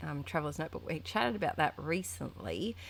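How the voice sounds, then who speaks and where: The speaker is a woman. Her words come in an Australian accent. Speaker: art journaling youtuber. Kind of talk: casual chat tutorial. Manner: chatty, hesitant with fillers.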